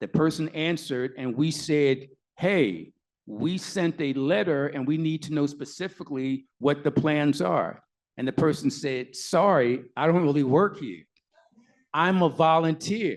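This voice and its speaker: A man with an unremarkable speaking voice, fairly high in pitch with ordinary pitch variation, at a fairly slow pace against a quiet background. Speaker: lawyer and activist. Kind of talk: panel Q&A answer. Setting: live event with audience, mic.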